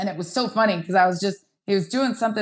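A woman is speaking. The background is quiet. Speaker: football coach. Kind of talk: interview storytelling.

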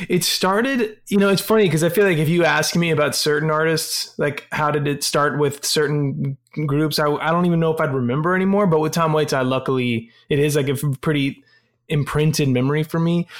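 This man has a normal speaking voice, fairly high in pitch, with ordinary pitch variation, very even loudness and a fairly quick pace. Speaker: rock band frontman. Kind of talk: casual chat.

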